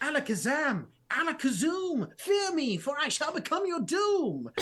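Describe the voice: In a high-pitched, put-on character voice, the speaker takes a dramatic, theatrical tone at a moderate pace.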